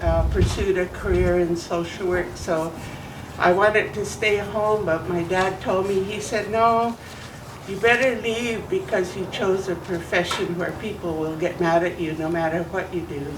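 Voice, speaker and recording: A woman's medium-pitched voice with an American accent and ordinary pitch variation, with audible room echo and noticeable background noise. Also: moderate pace. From Idaho, Nez Perce reservation. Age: 70s. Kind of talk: welcome speech.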